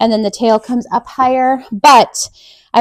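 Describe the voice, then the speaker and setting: Heard in a dry, close sound with no echo, a woman with a fairly high pitch talks at a moderate pace in an unremarkable speaking voice. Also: very clean recording, silent background. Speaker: sewing pattern designer. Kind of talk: tutorial.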